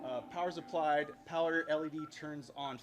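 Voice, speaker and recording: A man talks in a fairly high pitch while noticeable noise runs behind him. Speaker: conference speaker on electronics troubleshooting. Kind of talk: technical talk to live audience. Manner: fast.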